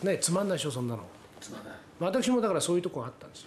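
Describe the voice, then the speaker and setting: Noticeable background noise runs under this recording. The man's pitch swings very widely. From Tokyo. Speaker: company president. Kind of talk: interview.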